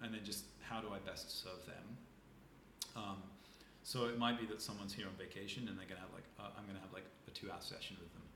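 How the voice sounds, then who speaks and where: A man speaks at a very fast pace in a fairly low, flat monotone. Noticeable background noise runs underneath. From southern England (Isle of Wight). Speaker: nervous system and breathwork expert. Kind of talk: casual interview chat.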